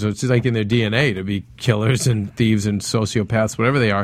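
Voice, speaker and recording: A man's medium-pitched, unremarkable speaking voice at a moderate pace, with fairly even intonation, on a very clean recording with a silent background. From Italian-American background. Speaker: after-show TV recap host. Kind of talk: casual panel chat. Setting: studio.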